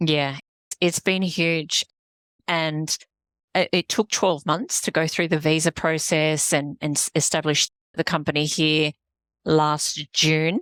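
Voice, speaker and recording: In an Australian accent, a woman speaks at a very slow pace with a very deep, low pitch, long, frequent pauses and very even loudness, in a very clean recording with a silent background and a dry, close sound with no echo. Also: fairly even intonation. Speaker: executive coach, business founder. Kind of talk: podcast interview.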